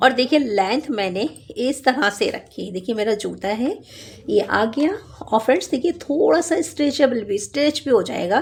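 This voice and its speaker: Over noticeable background noise, a woman speaks with lively intonation at a fairly high pitch. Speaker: knitting instructor. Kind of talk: tutorial.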